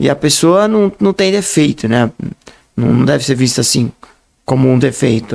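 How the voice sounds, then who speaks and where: This is an ordinary speaking voice. It moves at a moderate pace. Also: man. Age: 60s. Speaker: writer and speaker, blind association president. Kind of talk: podcast interview.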